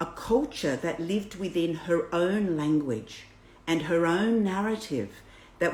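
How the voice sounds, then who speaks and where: In an Australian accent, a woman with a fairly low pitch speaks at a very slow pace with lively intonation, and room echo is audible. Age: 60s. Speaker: birth educator. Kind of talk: reading aloud. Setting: livestream.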